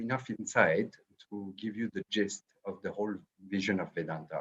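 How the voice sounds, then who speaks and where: A man speaks with a French accent. His pitch is fairly low. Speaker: Vedic scholar and professor. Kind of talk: lecture. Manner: hesitant with fillers.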